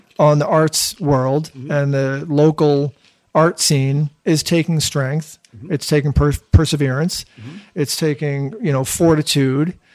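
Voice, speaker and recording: In a dry, close recording with no echo, a man with an American accent talks fairly slowly at a fairly high pitch with fairly even intonation. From Boston area, Massachusetts. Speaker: podcast host. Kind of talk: podcast intro monologue; casual chat. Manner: filler-heavy, hesitant.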